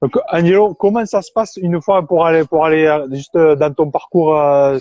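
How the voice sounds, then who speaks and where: In a southern French accent, a man talks at a fairly slow pace with a fairly high pitch and ordinary pitch variation. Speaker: interviewer. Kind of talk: interview.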